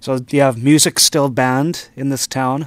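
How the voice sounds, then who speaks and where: In a normal speaking voice, the speaker goes at a fairly slow pace, recorded with a dry, close sound and no echo. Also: man. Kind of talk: casual chat.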